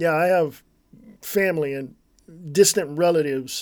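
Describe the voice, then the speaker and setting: Speaking at a fairly slow pace, a man with an American accent is heard in a very clean recording with a silent background. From United States. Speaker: political podcast host. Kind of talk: solo commentary monologue. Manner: casual, halting with fillers.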